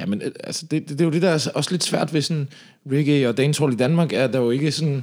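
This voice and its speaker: A man's fairly high voice at a very fast pace with ordinary pitch variation. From Denmark, Slagelse (Zealand). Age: 30s. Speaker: reggae singer. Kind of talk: casual interview.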